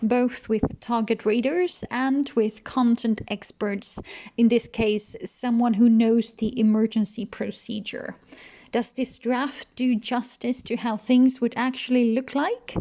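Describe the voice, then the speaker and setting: A woman's fairly high, dark and mellow voice with fairly even intonation and a non-native accent. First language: not English. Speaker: researcher and comic illustrator. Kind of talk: tutorial.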